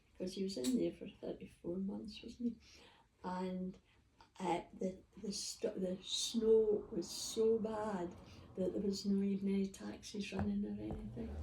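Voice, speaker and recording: A woman speaks fairly slowly. She has a Scottish accent. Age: 80s+. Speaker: grandmother interviewed by family. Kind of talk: casual chat.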